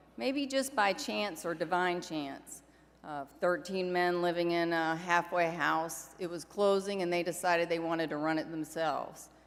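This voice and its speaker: A woman's fairly low voice, warm in tone, with lively intonation, a fairly slow pace and audible room echo. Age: 60s. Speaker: recovery organization leader. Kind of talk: convention keynote speech. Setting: stage with audience. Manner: warm, conversational.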